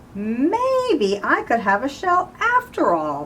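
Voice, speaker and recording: A woman does a put-on character voice at a very slow pace, with clear background noise behind her. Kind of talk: bedtime story. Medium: read story.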